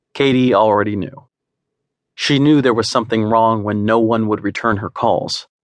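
Here is an ordinary speaking voice, a man at medium pitch using fairly even intonation and a moderate pace. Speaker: audiobook narrator. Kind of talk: dramatic audiobook narration of a novel, read aloud in third person. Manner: intimate, steady storytelling pace with soft, gentle moments at sad passages.

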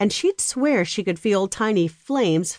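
The intonation rises and falls in a lively way. Someone is reading aloud in a natural voice.

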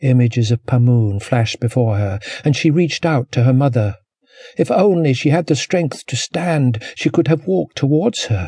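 Gentle, dark and mellow male voice at a medium pitch, somewhat breathy, with ordinary pitch variation, in a dry, close sound with no echo. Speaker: audiobook narrator. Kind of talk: dramatic audiobook narration of a historical novel.

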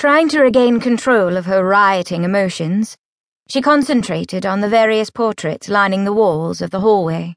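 Over a quiet background, the speaker reads in an unforced reading voice.

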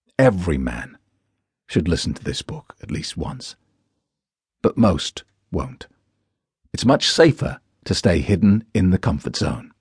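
A man's fairly low voice at a fairly slow pace, with very wide pitch swings, big swings in loudness, vocal fry, long, frequent pauses, and a dry, close sound with no echo. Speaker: audiobook author and narrator. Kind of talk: audiobook blurb read like an infomercial sales pitch. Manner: hard-sell, motivational, punchy and emphatic; confident, authoritative.

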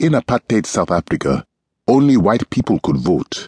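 A man speaks in a solemn tone with vocal fry and very wide pitch swings, the sound dry and close with no echo. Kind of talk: audiobook reading of a first-person memoir-style text, scripted narration. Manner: measured, solemn, earnest pace with deliberate gravity; warm, reflective, sincere narration.

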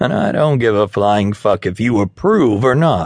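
Someone reads in a natural voice.

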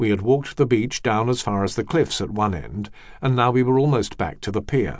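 This man talks at a fairly quick pace in a medium pitch, an ordinary speaking voice over a quiet background. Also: ordinary pitch variation. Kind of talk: audiobook narration, scripted reading aloud of nonfiction. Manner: measured, even and steady, formal literary delivery.

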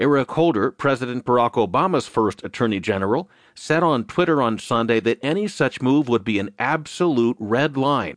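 A man with a normal speaking voice, medium pitch, lively intonation and a moderate pace, very even loudness and hardly any pauses, dry and close with no echo over a quiet background. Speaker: newsreader narrator. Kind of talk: news reading, audio digest of newspaper stories. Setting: studio. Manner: formal, even and measured; steady, neutral, briskly paced.

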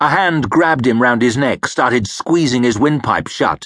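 At a fairly slow pace, a man talks in an ordinary speaking voice of medium pitch. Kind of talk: audiobook narration of a fantasy novel. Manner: measured, gritty storytelling, shifting into gruff character voices for dialogue.

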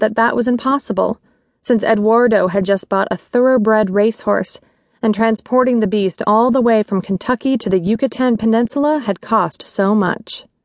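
A woman speaks with an unremarkable speaking voice at a fairly high pitch. Her pace is moderate and her pitch variation ordinary. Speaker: audiobook narrator. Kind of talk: audiobook narration of a romance novel. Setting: studio. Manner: measured, expressive storytelling pace.

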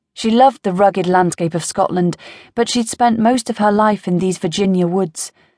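A woman's dark, mellow voice at a moderate pace, dry and close with no echo, over a quiet background. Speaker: audiobook narrator. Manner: voices different characters, gruff old man, frightened young woman.

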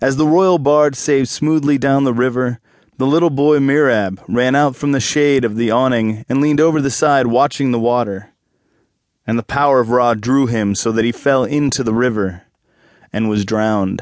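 A man speaks at a medium pitch and a moderate pace in a solemn, dramatic tone. His loudness stays very even. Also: ordinary pitch variation. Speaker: audiobook narrator. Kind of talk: dramatic audiobook narration of an ancient myth, read aloud. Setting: studio. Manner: measured, storytelling cadence; solemn, gravely dramatic; shifts into a grand, declamatory tone for the gods' quoted speech.

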